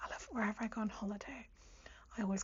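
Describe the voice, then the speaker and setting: The soft-spoken voice keeps a calm, relaxed tone at a fairly quick pace. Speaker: ASMR creator. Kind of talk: ASMR chatty talk to camera. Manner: soft-spoken, calm, relaxed, chatty; whispered.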